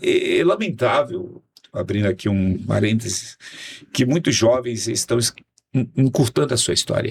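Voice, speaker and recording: A man's medium-pitched voice at a moderate pace, with lively intonation. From Brazil, Fortaleza, Ceará. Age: 60s. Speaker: pastor and politician. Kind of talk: casual podcast interview. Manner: halting, many repetitions.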